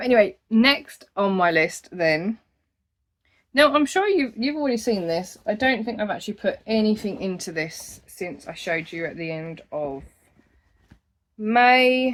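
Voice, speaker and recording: In an Essex accent, the speaker moves at a fairly slow pace with very wide pitch swings on a very clean recording with a silent background. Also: woman, fairly high pitch for a woman. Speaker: crochet podcaster. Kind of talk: casual monthly craft vlog.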